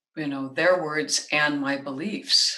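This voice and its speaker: A woman with an American accent speaks at a very slow pace in a very deep, low pitch, her tone bright and sharp, with ordinary pitch variation. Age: 60s. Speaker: singer, composer and voice teacher. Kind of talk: interview conversation.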